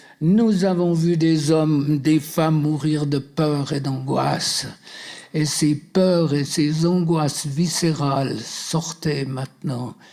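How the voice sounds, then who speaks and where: A man speaks at a fairly high pitch and a very slow pace. His intonation stays fairly even. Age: 80s+. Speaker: deliverance minister. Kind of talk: deliverance prayer. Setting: seminar with live audience. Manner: commanding.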